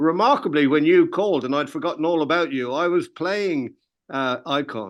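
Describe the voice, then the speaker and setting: With an Irish accent, a man speaks at a moderate pace against a quiet background. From Ireland. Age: 80s+. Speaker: music industry veteran, record label founder. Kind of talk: interview. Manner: animated; halting.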